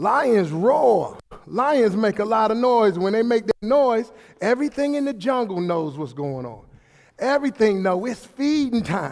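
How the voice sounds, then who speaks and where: This loud man talks with an American accent and a high pitch for a man. His fairly slow delivery has lively intonation and an animated tone. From Brooklyn, New York. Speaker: motivational speaker. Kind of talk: motivational speech. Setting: hall with audience, microphone.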